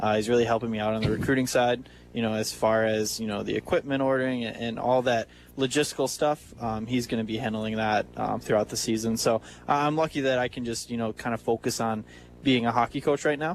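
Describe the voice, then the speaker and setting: A man's medium-pitched voice with a Wisconsin accent, very fast pace and fairly even intonation. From small town in Wisconsin. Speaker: hockey coach and team owner. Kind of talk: radio interview. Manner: halting, many fillers.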